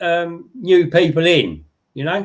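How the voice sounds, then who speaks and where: This man speaks in a high pitch with an English accent. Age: 70s. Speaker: model railway hobbyist. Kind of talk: casual chat.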